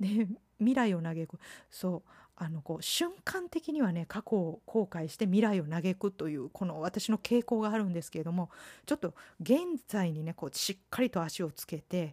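In a dry, close recording with no echo, a woman with a medium-pitched, dark and mellow voice talks at a moderate pace with lively intonation and big swings in loudness. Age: 50s. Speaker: podcast host. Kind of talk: solo podcast monologue. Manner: polite, formal.

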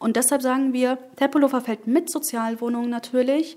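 The recording is very clean, with a silent background. Speech comes at a moderate pace. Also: woman. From Germany, Berlin. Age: 20s. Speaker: politician. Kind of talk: interview.

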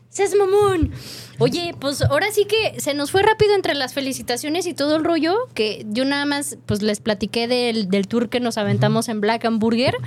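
With noticeable background noise, a woman speaks in an animated tone at a high pitch and moderate pace, her pitch swinging very widely. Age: young. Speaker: radio food show host. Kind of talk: casual chat.

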